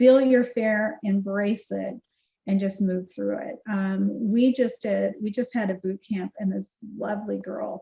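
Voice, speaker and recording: The voice is dark and mellow in tone, somewhat breathy. It moves at a fairly slow pace. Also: woman. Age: 60s. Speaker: keynote speaker and marketing CEO. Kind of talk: podcast interview.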